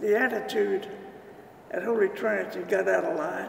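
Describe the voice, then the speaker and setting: A man with an American accent speaks at a fairly slow pace. Audible room echo and noticeable background noise surround him. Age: 80s+. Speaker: retired civil engineer, church founding member. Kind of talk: oral history interview. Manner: halting.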